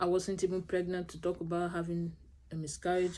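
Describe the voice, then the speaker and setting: A woman mumbles at a fairly quick pace, her fairly low voice dark and mellow in tone. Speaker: vlogger sharing infertility experience. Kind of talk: personal vlog talk to camera. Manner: fast, mumbling.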